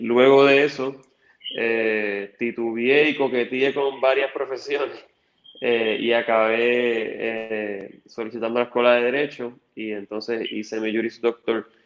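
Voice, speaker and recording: Fairly even intonation from a man at medium pitch. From Puerto Rico, Toa Baja. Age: 30s. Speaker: political candidate. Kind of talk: interview.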